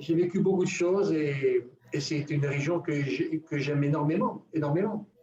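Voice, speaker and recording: Over noticeable background noise, a man talks at a moderate pace in a fairly high pitch with ordinary pitch variation. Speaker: spiritual teacher. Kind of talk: teaching talk on a live radio show.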